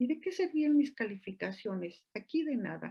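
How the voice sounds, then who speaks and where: A woman's somewhat breathy voice at a very slow pace, with very wide pitch swings. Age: 60s. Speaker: physician and lecturer. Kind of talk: lecture. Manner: animated.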